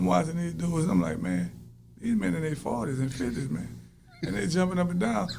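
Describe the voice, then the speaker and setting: This man talks loudly and fairly quickly in an American accent, his medium pitch making very wide swings. Room echo can be heard around him. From US South. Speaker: rapper, former prisoner. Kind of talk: interview.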